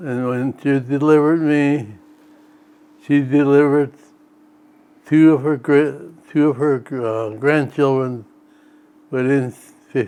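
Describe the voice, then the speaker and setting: A man with an American accent, very slow pace, fairly even intonation and long, frequent pauses. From North Dakota, US. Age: 80s+. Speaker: elderly farmer recounting family history. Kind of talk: interview.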